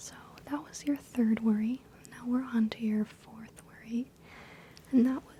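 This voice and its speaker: Amid noticeable background noise, a soft-spoken woman speaks with a high pitch and ordinary pitch variation. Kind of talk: ASMR role-play, doctor/therapist style. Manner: soft-spoken, calming.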